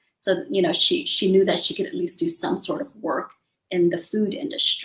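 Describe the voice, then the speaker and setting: The voice is somewhat breathy, with very wide swings in pitch. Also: woman, fairly high pitch for a woman, moderate pace. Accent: Vietnamese. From US South, New Orleans. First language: Vietnamese. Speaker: doctor and real estate investor. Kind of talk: interview.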